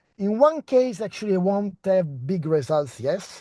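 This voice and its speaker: A man speaks at a fairly slow pace with a high pitch and a dark, mellow tone. His intonation is lively, and he has an Italian accent. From Italy. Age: 30s. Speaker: postdoctoral researcher. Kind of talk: research talk. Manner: halting.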